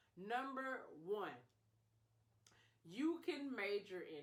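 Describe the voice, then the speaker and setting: Animated in tone, a woman speaks with lively intonation. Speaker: public health professional, video creator. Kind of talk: casual advice vlog.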